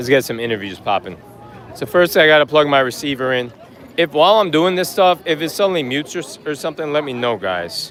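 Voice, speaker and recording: With noticeable background noise behind him, a man speaks in a New York accent, his pitch swinging very widely. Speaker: travel vlogger. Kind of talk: live stream walking tour. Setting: outdoors on a busy street. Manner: loud; animated.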